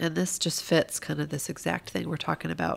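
With vocal fry and a very deep, low pitch, a woman speaks at a moderate pace. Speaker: podcast co-host. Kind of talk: casual conversational podcast chat. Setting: recorded at home.

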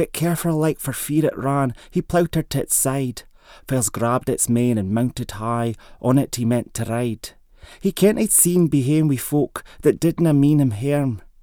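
A man's fairly high-pitched voice with a dark, mellow tone, ordinary pitch variation and a moderate pace. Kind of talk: poet reading a Scots dialect poem aloud. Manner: measured, rhythmic, storytelling cadence.

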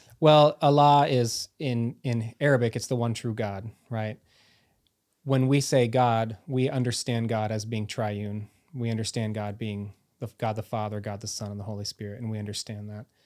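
Using an ordinary speaking voice, a man with an American accent speaks at a medium pitch and moderate pace, with fairly even intonation. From United States. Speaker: education professor, former international school administrator. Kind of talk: casual interview conversation.

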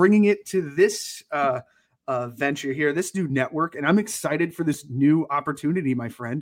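At a moderate pace, a man with an American accent uses a normal speaking voice, fairly high in pitch with ordinary pitch variation, in a very clean recording with a silent background. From Connecticut. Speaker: podcast co-host. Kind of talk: casual chat.

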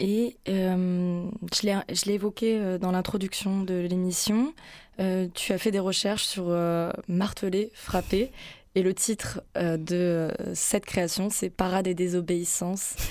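A woman talks at a very slow pace and medium pitch, with fairly even intonation and very even loudness. The recording is very clean, with a silent background. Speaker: radio host. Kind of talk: radio interview. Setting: radio studio.

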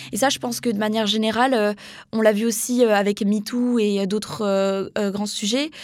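A woman with an unremarkable speaking voice and a fairly high pitch keeps her intonation fairly even while talking at a moderate pace. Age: 20s. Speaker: young communications student. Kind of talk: interview.

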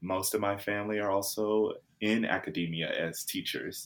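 Someone with an American accent speaks at a moderate pace in a flat monotone. The recording is very clean, with a silent background. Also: man. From US South, Jackson, Mississippi. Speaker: actor and film student. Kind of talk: interview.

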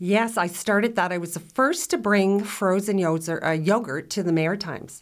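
A woman's ordinary speaking voice at medium pitch and a moderate pace, with ordinary pitch variation and hardly any pauses. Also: very clean recording, silent background. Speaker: restaurateur and food blogger. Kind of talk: casual interview.

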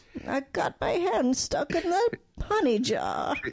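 Cartoonish character voice at extremely high pitch, fairly slow, with very wide pitch swings. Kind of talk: childlike cartoon voice. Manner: soft, gentle, dopey.

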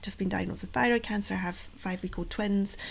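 Her intonation stays fairly even. The woman speaks with a Scottish accent. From Scotland. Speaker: project coordinator, patient engagement. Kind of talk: interview. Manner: hesitant, many fillers.

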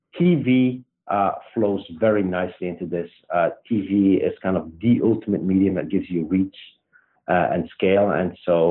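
In a Belgian accent, a man speaks at a fairly low pitch with ordinary pitch variation. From Belgium. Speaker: startup CEO and co-founder. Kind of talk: interview.

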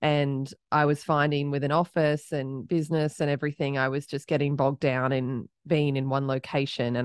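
With an Australian accent, a woman speaks in a very deep, low pitch at a moderate pace, monotone and flat, with hardly any pauses. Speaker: startup founder and CEO. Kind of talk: casual interview conversation.

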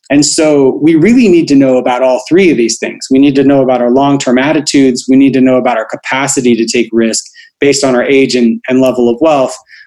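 This man talks at a very fast pace with hardly any pauses, in a medium pitch and a dark, mellow tone. His intonation is fairly even and his loudness very even. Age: 40s. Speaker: behavioral finance expert and author. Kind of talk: interview.

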